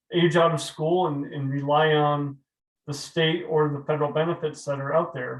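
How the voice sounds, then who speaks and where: A man with an American accent speaks at a fairly high pitch with fairly even intonation. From New England. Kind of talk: webinar presentation. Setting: webinar. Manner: fast.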